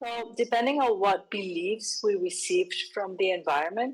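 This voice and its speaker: A woman with a Spanish accent, fairly slow in pace, with lively intonation. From Colombia. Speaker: psychology method instructor. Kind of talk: interview.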